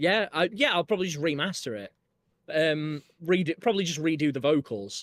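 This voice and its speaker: A man with a Yorkshire accent talks at a fairly quick pace in a fairly high pitch with lively intonation, the sound dry and close with no echo. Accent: northern English (Yorkshire), in his singing. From northern England (Yorkshire). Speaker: musician. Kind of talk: casual chat. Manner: halting.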